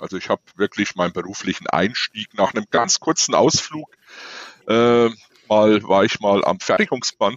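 A man talks at a moderate pace. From eastern Germany (former GDR). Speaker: maintenance manager. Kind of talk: casual chat.

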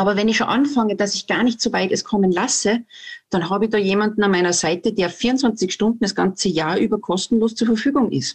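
Somewhat breathy, a woman talks at a fairly quick pace in a medium pitch. Her loudness stays very even while her pitch varies in an ordinary way. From Austria, Salzburg. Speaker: herbalist and forest educator. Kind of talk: interview.

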